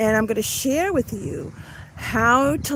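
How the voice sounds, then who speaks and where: With a slight Long Island accent, a woman with a fairly high voice speaks fairly slowly, her pitch swinging very widely over noticeable background noise. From Long Island, New York (Suffolk County). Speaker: online business coach. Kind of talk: live stream talk. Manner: casual, with fillers.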